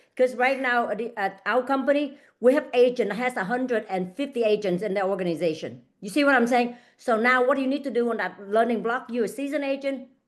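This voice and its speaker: A woman with a non-native accent talks at a very fast pace and a high pitch. Her pitch variation is ordinary, and the background is quiet. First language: not English. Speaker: real estate agent and coach. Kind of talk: online group coaching session. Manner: halting, repeats words.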